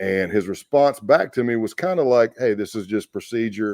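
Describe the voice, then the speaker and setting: A man's fairly low, dark and mellow voice with a South Carolina accent, in a very clean recording with a silent background. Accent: Southern US, South Carolina. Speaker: retired FBI agent. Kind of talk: interview storytelling. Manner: loud.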